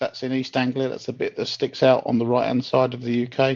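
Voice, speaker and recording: This is a man speaking. He has a southern English accent. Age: 60s. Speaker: glider pilot and instructor. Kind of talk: interview.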